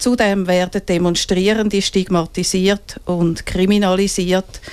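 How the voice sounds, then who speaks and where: Monotone and flat, a woman speaks at medium pitch and a fairly slow pace. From Switzerland, Winterthur. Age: 60s. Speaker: feminist activist. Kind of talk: interview. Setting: studio. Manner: reads prepared statements.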